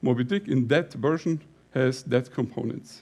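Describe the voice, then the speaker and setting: A man speaks with a Bavarian accent in a fairly high pitch. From Lower Bavaria, Germany. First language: Bavarian dialect / German. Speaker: company CEO, conference speaker. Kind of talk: conference talk. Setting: stage with audience. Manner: halting, with fillers.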